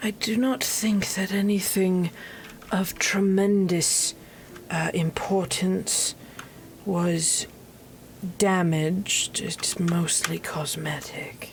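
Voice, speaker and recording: A woman uses a put-on character voice at medium pitch. She speaks at a very slow pace with long, frequent pauses over light background noise. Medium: actual play. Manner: formal, measured.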